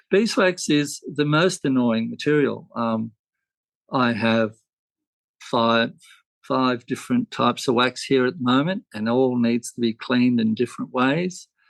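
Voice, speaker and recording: A man with an Australian accent speaks at a fairly slow pace, his pitch medium and its variation ordinary. The sound is dry and close, with no echo. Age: 60s. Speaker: beeswax candle maker. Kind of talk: podcast interview. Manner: halting.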